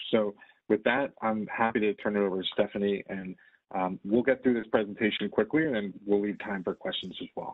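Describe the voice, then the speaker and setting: A man with a plain, everyday voice talks at a fairly quick pace and fairly low pitch. His intonation is fairly even, and the background is quiet. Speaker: property company representative. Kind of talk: presentation. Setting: video call. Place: home room. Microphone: video call.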